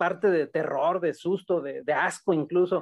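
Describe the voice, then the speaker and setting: A man speaks at a high pitch, with ordinary pitch variation. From Mexico, Bajío (Irapuato, Guanajuato). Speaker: short story writer. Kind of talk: casual chat.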